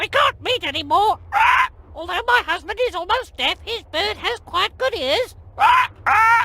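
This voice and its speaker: An extremely high-pitched, put-on character voice, delivered at a moderate pace. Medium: video game.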